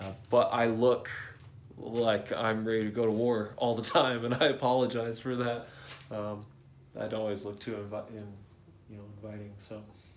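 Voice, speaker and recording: A man at medium pitch and moderate pace, monotone and flat in intonation, with big swings in loudness, long, frequent pauses and audible room echo. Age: 30s. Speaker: car builder vlogger. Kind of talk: casual vlog talk. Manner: softened, less aggressive delivery.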